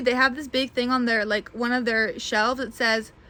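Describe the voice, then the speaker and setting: A woman's high, bright, sharp voice, raised and projected, at a fairly quick pace. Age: 20s. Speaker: doll collector and video creator. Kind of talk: casual haul video monologue.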